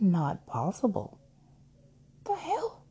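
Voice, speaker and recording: A woman's voice with very wide pitch swings. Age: 30s. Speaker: podcaster. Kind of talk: personal monologue. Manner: halting, many fillers.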